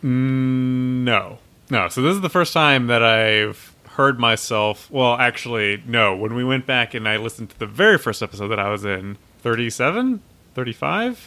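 Speaking with an American accent, a man has a bright, sharp tone and a medium pitch. His pitch variation is ordinary and his pace moderate. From Texas, Austin. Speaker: board game podcast co-host. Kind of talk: casual chat.

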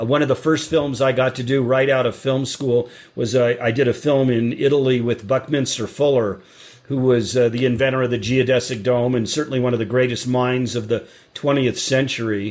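Speaking at a fairly quick pace, a man keeps a medium pitch and a monotone, flat intonation. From US Colorado. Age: 60s.

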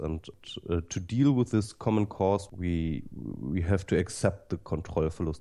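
On a very clean recording with a silent background, a man with a German accent speaks at a fairly slow pace in a very deep, low pitch. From Germany. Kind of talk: interview. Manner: halting.

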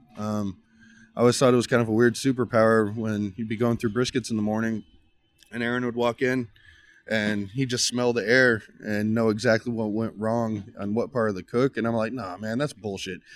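Speaking in a Texan accent, this man talks fairly quickly at a medium pitch with monotone, flat intonation. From Texas, Uvalde. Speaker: pitmaster. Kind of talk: casual chat. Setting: on location at his barbecue trailer.

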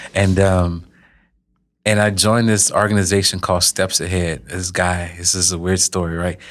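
A man with a very deep, low pitch speaks at a moderate pace in a monotone, flat delivery, on a very clean recording with a silent background. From Louisiana, Lafayette. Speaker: health company founder. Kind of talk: interview.

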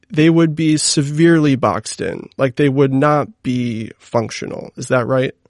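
Dry and close with no echo, the clip has a man with a plain, everyday voice speaking at a medium pitch and moderate pace with ordinary pitch variation. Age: 30s. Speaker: podcast host. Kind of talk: scripted intro; interview. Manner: casual, filler-heavy questions.

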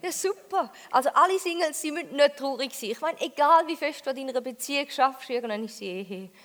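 Lively intonation and big swings in loudness mark this fairly quick delivery with a Thurgau accent and hardly any pauses. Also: woman, high pitch for a woman. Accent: Thurgau Swiss German dialect. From Switzerland, Thurgau. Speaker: comedian. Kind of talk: stand-up. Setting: stage with audience.

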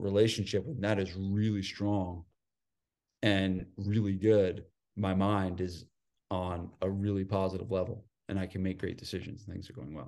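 A man with a New Jersey accent talks in a monotone, flat delivery at a moderate pace and fairly low pitch over a quiet background. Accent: New Jersey American. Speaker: gym owner and fitness business coach. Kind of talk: casual interview chat.

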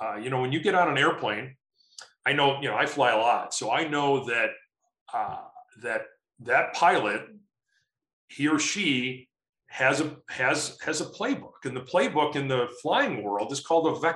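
With a bright, sharp tone, a man speaks at a moderate pace, his pitch fairly high for a man with ordinary variation. Long pauses come often. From US Midwest, Chicago. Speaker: sales and marketing consultant. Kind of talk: interview.

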